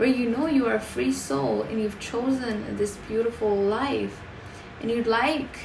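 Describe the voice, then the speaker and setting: A woman with a non-native accent speaks at a fairly slow pace. Audible room echo and noticeable background noise fill the recording. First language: not English. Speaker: tarot card reader. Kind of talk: tarot reading monologue. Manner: halting, many fillers.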